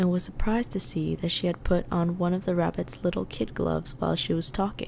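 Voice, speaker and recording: A woman speaks at a moderate pace with a fairly low pitch in a plain, everyday voice. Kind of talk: ASMR book reading, meditative. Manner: soft-spoken, whispered, relaxing.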